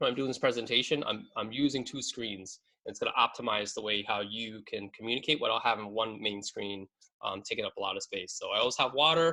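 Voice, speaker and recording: At a very fast pace, a man talks at a medium pitch with a bright, sharp tone. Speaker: business advisor and CEO leading a seminar. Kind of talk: webinar presentation. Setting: video call from home basement office. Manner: casual, filler-heavy.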